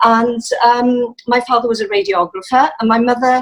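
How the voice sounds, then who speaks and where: A woman's high voice in a Welsh accent at a moderate pace. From South Wales, Rhondda Valleys. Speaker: musician and church member. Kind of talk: interview testimony. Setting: video call. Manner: hesitant, many fillers.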